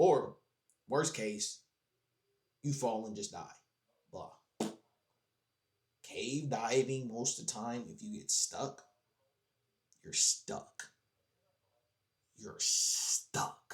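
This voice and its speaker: The voice swings very widely in pitch and heavily in loudness, with a somewhat breathy quality. It moves at a very slow pace, broken by long, frequent pauses. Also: man, fairly high pitch for a man. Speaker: reaction streamer. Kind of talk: casual reaction commentary. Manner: animated.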